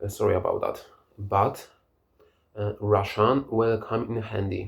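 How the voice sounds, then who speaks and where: A man with a Polish accent talks at a very slow pace in a fairly low, somewhat breathy voice. The recording is very clean, with a silent background. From Poland. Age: 30s. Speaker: language learner vlogger. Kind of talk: casual monologue. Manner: halting.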